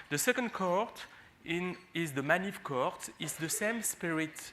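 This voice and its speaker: A man with a French accent, bright, sharp in tone, at a fairly slow pace. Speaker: physician and HIV researcher. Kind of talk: conference talk. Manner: halting, many fillers.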